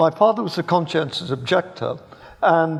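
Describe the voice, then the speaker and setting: A man with an English accent, fairly high in pitch with ordinary variation, at a moderate pace, over noticeable background noise. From England, Birmingham. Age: 70s. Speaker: philosophy professor. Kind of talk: public debate. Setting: stage with live audience. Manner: halting, repeats words.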